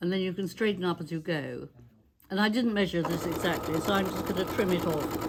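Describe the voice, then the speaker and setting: Over noticeable background noise, a woman talks at a fairly quick pace with a fairly low pitch and fairly even intonation. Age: 80s+. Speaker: quilter. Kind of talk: tutorial.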